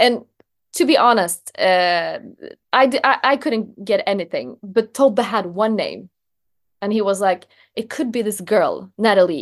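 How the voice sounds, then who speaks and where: A woman with a Swedish accent, fairly high in pitch, at a fairly slow pace with long, frequent pauses. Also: lively intonation, quiet background. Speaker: journalist. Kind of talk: interview.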